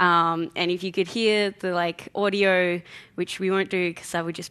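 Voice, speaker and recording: A woman's fairly low voice with a bright, sharp tone, monotone, flat intonation and a moderate pace. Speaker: conference speaker. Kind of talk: conference talk. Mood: light, joking. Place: hall.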